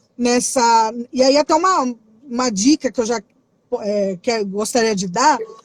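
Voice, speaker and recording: A fairly slow, animated delivery with long, frequent pauses and ordinary pitch variation. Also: woman, fairly high pitch for a woman. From Brazil. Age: 30s. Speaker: youth ministry worker. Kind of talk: casual interview.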